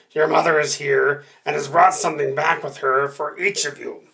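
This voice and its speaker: A man puts on a character voice that is raspy and fairly high in pitch. He talks at a moderate pace. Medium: read story. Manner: wheedling, deceitful.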